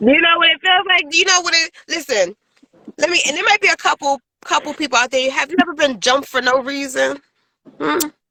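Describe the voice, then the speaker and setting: Very fast and animated, the voice is raised and projected, with lively intonation, a bright, sharp tone, and a dry, close sound with no echo. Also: woman, high pitch for a woman. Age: 40s. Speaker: podcast host. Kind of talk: casual chat. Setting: in a car.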